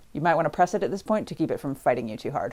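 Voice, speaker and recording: In a very clean recording with a silent background, a woman with a very deep, low pitch and a dark, mellow tone speaks with lively intonation. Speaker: sewing tutor. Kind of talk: tutorial. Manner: fast.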